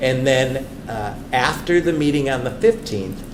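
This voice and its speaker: Room echo and noticeable background noise surround a man's voice. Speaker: superintendent search consultant. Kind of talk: presentation to school board. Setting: school board meeting.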